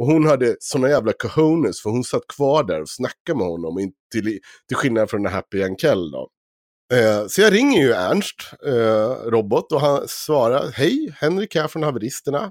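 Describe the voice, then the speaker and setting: Here a man talks at a moderate pace, his medium pitch swinging very widely. The recording is very clean, with a silent background and a dry, close sound with no echo. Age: 30s. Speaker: podcast host. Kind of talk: casual chat.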